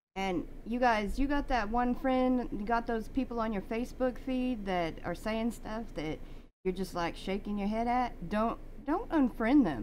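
A woman speaks at a fairly slow pace in a fairly high pitch, with ordinary pitch variation and an unremarkable speaking voice. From US South. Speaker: podcast host. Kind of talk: casual interview.

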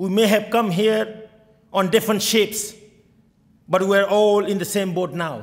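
Against a quiet background, a man talks at a fairly slow pace with a high pitch and fairly even intonation. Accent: Bengali. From Bangladesh. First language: Bengali. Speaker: state senator. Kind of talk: oath and speech. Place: hall. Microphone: podium.

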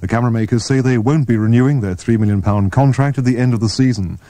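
A man's dark, mellow tone at medium pitch rushes along at a very fast pace with lively intonation. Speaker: radio newsreader and station announcer. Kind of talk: 1986 radio news reading and station promo. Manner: crisp, formal, brisk and authoritative, polished broadcast delivery.

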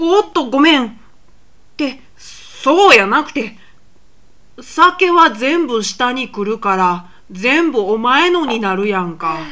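This is a cartoonish character voice with very wide pitch swings. The pace is fairly slow. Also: female-sounding voice, high pitch for a woman. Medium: puppet. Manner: rough, indignant.

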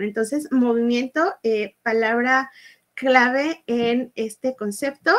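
A high-pitched woman at a fairly slow pace over a quiet background. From Mexico, Guadalajara; Jalisco, Mexico. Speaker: workshop instructor. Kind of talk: online workshop. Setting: live video stream. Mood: cheerful, animated. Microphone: webcam.

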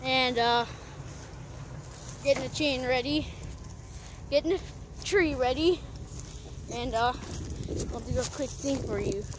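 The speech moves at a fairly slow pace with long, frequent pauses. Noticeable background noise is present, and the sound is dry with no echo. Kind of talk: casual commentary. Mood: excited, amused. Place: forest. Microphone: phone near.

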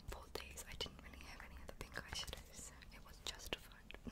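Whispering at a fairly quick pace, a woman lets her loudness swing widely. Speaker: ASMR and beauty content creator. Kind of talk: ASMR makeup collection show-and-tell. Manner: whispering, soft-spoken. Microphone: studio mic.

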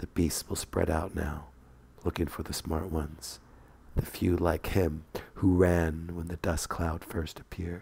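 In a very deep, low pitch, a man delivers a dramatic tone at a fairly slow pace, somewhat breathy, with monotone, flat intonation. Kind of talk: scripted narration of flash fiction. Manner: dramatic, storyteller delivery with tense pacing.

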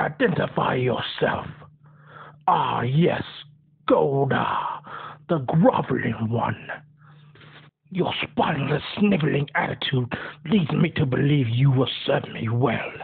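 Someone uses a put-on character voice at a low-to-middle pitch, moving at a fairly slow pace with long, frequent pauses. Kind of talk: character voice impression. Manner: commanding, menacing.

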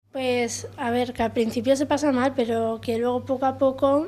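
A woman speaks at a fairly slow pace in a high pitch, her intonation flat and monotone. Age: young. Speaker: program participant. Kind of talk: interview. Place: office. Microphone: handheld.

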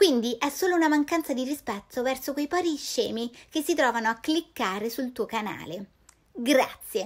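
Over a quiet background, a woman speaks with a high pitch. Her intonation is lively. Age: 30s. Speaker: YouTuber; youtuber. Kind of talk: casual monologue. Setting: late-night Instagram stories recording. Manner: fast. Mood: sarcastic, indignant. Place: home room. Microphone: phone near.

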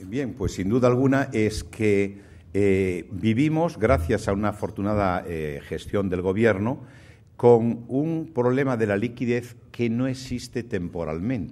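A man's dark, mellow tone at medium pitch, fairly slow pace and ordinary pitch variation. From Spain, Galicia. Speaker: banking association president; guest. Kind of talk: keynote speech. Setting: stage with audience. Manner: halting. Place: hall. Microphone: podium.

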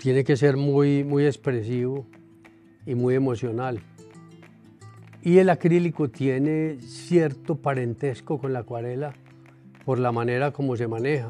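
Against faint music in the background, a man talks at a fairly slow pace with fairly even intonation and long, frequent pauses. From Colombia. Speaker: painter. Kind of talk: interview answer. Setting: art gallery. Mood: calm, reflective. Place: shop.

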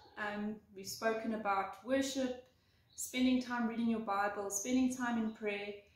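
At a moderate pace, a woman speaks with a high pitch, and room echo is audible. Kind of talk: devotional talk. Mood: warm, earnest. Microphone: phone near.

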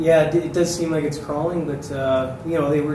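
Noticeable background noise and audible room echo both come through here. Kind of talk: meeting report answering questions. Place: meeting room. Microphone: podium.

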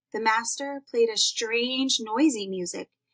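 Quiet surroundings behind a natural reading voice

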